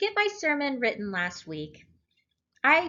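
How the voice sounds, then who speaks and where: A woman at a fairly slow pace, her voice making very wide pitch swings. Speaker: lay preacher. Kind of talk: sermon at morning prayer. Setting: church service.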